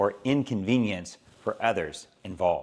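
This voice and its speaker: With an American accent and lively intonation, a man speaks at a fairly slow pace in an unremarkable speaking voice. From Southern California. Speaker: English teacher. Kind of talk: educational lesson to camera.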